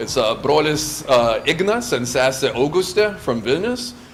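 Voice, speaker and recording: Noticeable background noise sits behind a man with a Californian accent whose fairly high voice makes very wide pitch swings. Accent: Californian American English. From US West Coast, Santa Monica, California, Lithuanian household. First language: Lithuanian. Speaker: scout camp leader. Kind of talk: interview. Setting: in person, Santa Monica.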